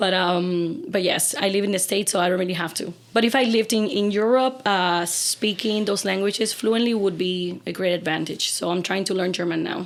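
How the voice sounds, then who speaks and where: A woman with a Spanish accent, at medium pitch with ordinary pitch variation, at a fairly quick pace with hardly any pauses. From Cuba. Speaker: opera singer. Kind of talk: casual chat.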